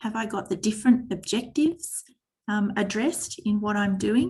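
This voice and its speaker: This woman talks at a moderate pace with a fairly high, somewhat breathy voice and lively intonation. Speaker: teacher trainer. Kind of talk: online workshop presentation.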